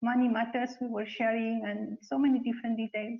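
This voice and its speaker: A high-pitched woman with a Spanish accent speaks at a fairly quick pace. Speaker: spiritual community member. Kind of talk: testimony. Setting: webcast.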